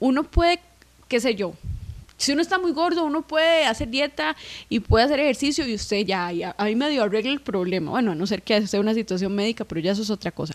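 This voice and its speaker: A woman speaks at a very fast pace with a fairly high pitch. Her pitch swings very widely. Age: 20s. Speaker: musician. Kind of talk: casual chat.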